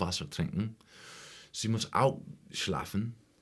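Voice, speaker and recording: A man with an English accent speaks at a very slow pace in a somewhat breathy voice, recorded very cleanly against a silent background. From US Midwest, rural Ohio (Appalachian foothills). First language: English (speaking German). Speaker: musician and music teacher. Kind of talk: interview. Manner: halting, non-fluent German with English fillers.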